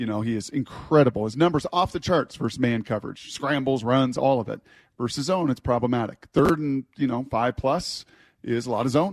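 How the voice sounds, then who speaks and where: With a normal speaking voice, a man at medium pitch talks at a moderate pace with ordinary pitch variation, the sound dry and close with no echo against a quiet background. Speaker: sports radio host. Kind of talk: sports radio discussion. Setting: studio.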